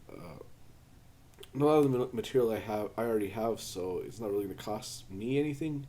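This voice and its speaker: A man with a medium-pitched, dark, mellow tone and ordinary pitch variation talks amid audible room echo. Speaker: maker and programmer vlogger. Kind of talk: casual project vlog. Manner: halting, many fillers; self-deprecating, unpolished.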